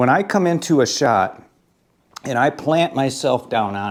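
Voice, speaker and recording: Moving at a moderate pace, a man talks at a medium pitch with very wide pitch swings. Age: 60s. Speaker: pool instructor. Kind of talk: tutorial. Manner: casual, conversational.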